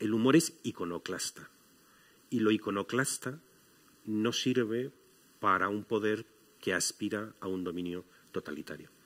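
A man with a fairly low pitch and ordinary pitch variation talks at a fairly slow rate, leaving long, frequent pauses. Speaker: guest. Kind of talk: panel discussion talk. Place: stage. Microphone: headset.

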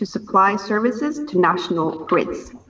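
The woman talks at a moderate speed. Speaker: government minister giving remarks. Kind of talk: prepared speech. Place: office. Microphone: video call.

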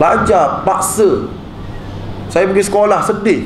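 At a moderate pace, a man with a high voice speaks over light background noise, with audible room echo. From Malaysia. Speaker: religious teacher. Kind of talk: religious talk. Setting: mosque with audience. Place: hall. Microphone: handheld.

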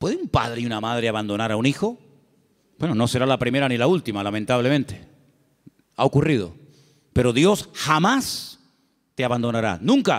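Against a quiet background, a man speaks with long, frequent pauses. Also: fairly quick pace. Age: 50s. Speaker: pastor. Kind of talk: sermon. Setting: church. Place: church. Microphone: handheld.

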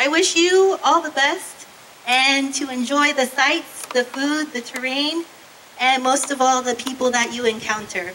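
A woman with an American accent uses a raised, projected voice at a high pitch with ordinary pitch variation. She speaks fairly slowly over light background noise. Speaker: university professor. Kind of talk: ceremony speech. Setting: stage with audience. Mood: warm, friendly. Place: stage. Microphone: handheld.

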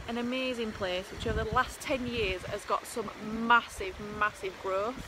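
Fairly even intonation marks a woman's speech amid noticeable background noise. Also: dry sound with no echo. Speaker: property investment vlogger. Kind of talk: casual vlog chat. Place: street. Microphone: phone near.

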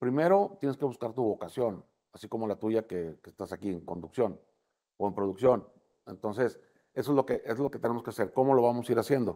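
Fairly quick and lively in intonation, a man speaks in a dark, mellow tone, his loudness rising and falling widely. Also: quiet background. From Mexico, Tamaulipas. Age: 60s. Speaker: political candidate; candidate. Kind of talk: interview. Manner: casual, conversational with fillers. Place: studio. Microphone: lapel.

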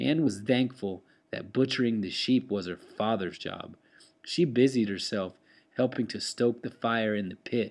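With ordinary pitch variation, the speaker does plain reading aloud.

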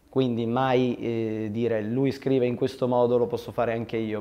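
The man's delivery is fairly brisk. His tone stays monotone and flat throughout. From Turin, northern Italy; northern Italy. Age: 20s. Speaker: film director. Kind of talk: interview; interview answer. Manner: hesitant, many fillers. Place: studio. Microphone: lapel.

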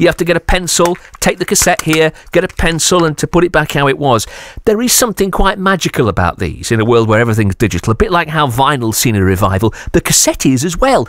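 A man with a British accent, fairly high pitch and very wide pitch swings, talking very fast in a dry sound with no echo. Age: 30s. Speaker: radio presenter. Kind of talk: radio interview. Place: studio.

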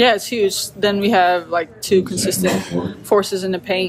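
A woman talks at a fairly low pitch with fairly even intonation. Noticeable background noise runs underneath. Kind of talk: interview answer. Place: hall.

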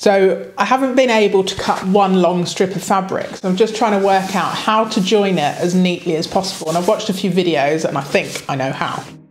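A woman talks fairly quickly with ordinary pitch variation. Light background noise and audible room echo are present. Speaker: sailing vlogger. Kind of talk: casual vlog chat. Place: home room. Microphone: camera far.

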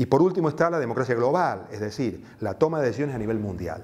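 A man's medium-pitched voice at a very fast pace. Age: 60s. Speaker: activist and teacher; teacher. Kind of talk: interview. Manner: hesitant, with fillers. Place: office. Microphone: lapel.

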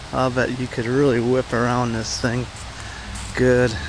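Noticeable background noise sits behind a man speaking very slowly in a dry sound with no echo. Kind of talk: casual vlog chat. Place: open country. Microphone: phone near.

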